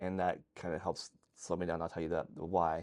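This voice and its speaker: A man talks at a very fast pace. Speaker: applied functional neurologist. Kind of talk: interview explaining concepts. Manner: halting.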